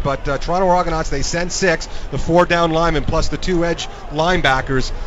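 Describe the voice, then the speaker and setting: Over noticeable background noise, a man with a high voice talks at a fairly quick pace. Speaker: former football player turned radio analyst. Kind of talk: live color commentary, analyzing plays as a former player. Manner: animated, wordy, stacking verbs (analyzing, overanalyzing, scrutinizing).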